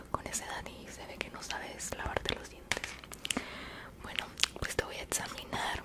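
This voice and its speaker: A soft-spoken woman talks at a fairly slow pace. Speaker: ASMR creator playing a dentist. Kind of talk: roleplay ASMR talk, soft-spoken. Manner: soft close-mic ASMR voice, slightly snide. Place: home room. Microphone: studio mic.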